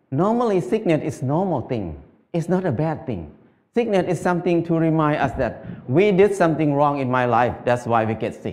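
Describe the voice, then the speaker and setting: Speaking with a Thai accent, the voice moves at a moderate pace with lively intonation. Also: man. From northeastern Thailand (Isan); Thailand. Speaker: farmer. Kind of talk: talk to audience; public talk. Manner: halting. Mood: calm, warm, gently humorous. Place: stage. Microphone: headset.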